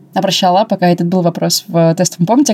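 A woman's voice sits at a medium pitch, her intonation staying fairly even throughout. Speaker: podcast co-host, customer service specialist. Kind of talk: casual chat. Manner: mumbling. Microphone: wrongly assembled mic, muffled sound.

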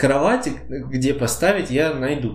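A man speaks at a very slow pace. Room echo is audible. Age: 20s. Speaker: podcast co-host. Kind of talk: casual chat.

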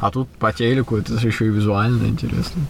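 A man at medium pitch and a fairly quick pace, with ordinary pitch variation and noticeable background noise. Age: 30s. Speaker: podcast host, illusionist and entrepreneur. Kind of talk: casual chat.

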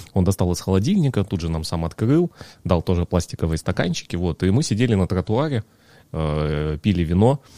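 On a very clean recording with a silent background and a dry, close sound free of echo, a man with a very deep, low pitch and a dark, mellow tone speaks at a moderate pace with lively intonation. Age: 30s. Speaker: amateur bartender. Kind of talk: casual chat.

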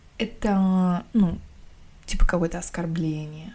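The woman has a dark, mellow tone that is somewhat breathy. Her pitch varies in an ordinary way. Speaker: podcast host reading a novel aloud. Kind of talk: reading aloud; casual chat. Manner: no character voices in dialogue.

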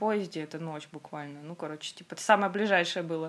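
A woman talks in a plain, everyday voice. Her intonation is lively. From Russia, Khanty-Mansi region. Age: 20s. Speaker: Korean language teacher. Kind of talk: casual chat.

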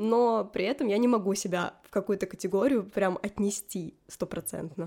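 In a very clean recording with a silent background, a woman speaks at a moderate pace in a medium pitch, with a dark, mellow tone and ordinary pitch variation. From Odesa, Ukraine. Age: 20s. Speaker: podcast co-host, graphic designer. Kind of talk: casual chat.

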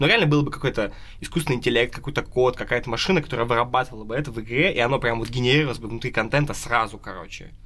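A man with a bright, sharp tone talks at a very fast pace, his medium pitch showing ordinary variation. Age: 20s. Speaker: tabletop RPG podcast host and game master. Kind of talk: casual chat.

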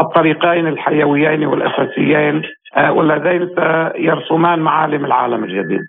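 A man's ordinary speaking voice, fairly high in pitch, with ordinary pitch variation and a fairly slow pace. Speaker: military analyst. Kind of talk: interview. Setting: phone call.

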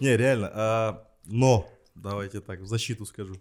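The recording is very clean over a silent background. In it, a man with a fairly low pitch talks at a fairly slow pace. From Kazakhstan, Aksay. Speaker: screenwriter and TV host. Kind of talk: casual chat.

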